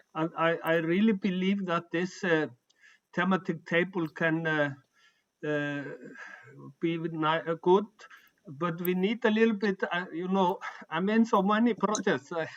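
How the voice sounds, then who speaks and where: A man with a non-native accent speaks at a fairly slow pace in a high pitch, with ordinary pitch variation. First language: not English. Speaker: humanist organization member. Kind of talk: online meeting discussion. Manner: halting.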